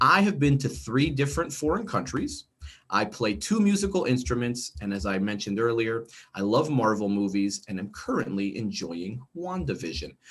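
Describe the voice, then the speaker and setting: An animated man with a New Jersey accent, medium pitch and very wide pitch swings. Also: moderate pace. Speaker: instructional coach. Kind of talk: online training workshop. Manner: casual, animated.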